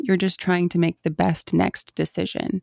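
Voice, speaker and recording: In a very clean recording with a silent background and a dry, close sound with no echo, a woman speaks at a moderate pace with a fairly low pitch. She has a normal speaking voice and fairly even intonation. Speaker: mindfulness guest and mother. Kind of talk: casual interview.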